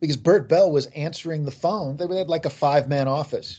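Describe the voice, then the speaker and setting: With an American accent, a man uses an ordinary speaking voice at a moderate pace and ordinary pitch variation. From US Midwest, Kansas City. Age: 50s. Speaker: author. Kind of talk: interview.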